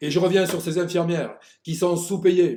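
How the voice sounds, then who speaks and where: An animated, high-pitched male voice on a very clean recording with a silent background. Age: 70s. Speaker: psychoanalyst doctor commentator. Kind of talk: video monologue.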